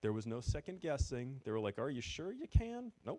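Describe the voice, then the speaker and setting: A man in a New England accent, with a dark, mellow tone, lively intonation and a moderate pace. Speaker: former retail store manager, event speaker. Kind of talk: presentation to audience.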